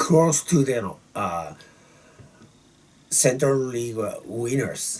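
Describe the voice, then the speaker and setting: A man's medium-pitched voice at a very slow pace. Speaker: YouTuber, baseball fan. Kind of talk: casual monologue. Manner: halting, many fillers.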